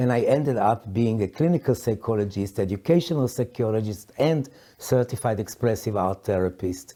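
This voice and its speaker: In a dark, mellow tone, a man speaks at a medium pitch and moderate pace with ordinary pitch variation, very even loudness and hardly any pauses. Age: 60s. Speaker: psychologist and coach. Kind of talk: personal reflective talk. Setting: sitting at a historic house in London. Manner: halting, many fillers.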